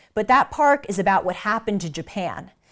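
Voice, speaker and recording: A woman with a Southern Californian accent speaks at a fairly quick pace, her pitch swinging very widely, on a very clean recording with a silent background. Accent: Valley Girl American. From United States. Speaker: commentator. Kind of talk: casual talk.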